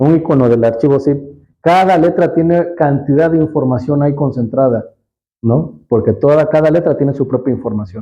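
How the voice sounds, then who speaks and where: Here is a man with a normal speaking voice, fairly high in pitch and moving at a moderate pace. His loudness stays very even, and his pitch varies in an ordinary way. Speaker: Bible language teacher. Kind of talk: teaching talk.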